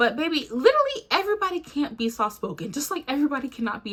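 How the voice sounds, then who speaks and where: In a raised, projected voice with a bright, sharp tone, a woman talks very fast, her pitch swinging very widely. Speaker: YouTuber. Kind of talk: casual rant to camera. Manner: loud; animated.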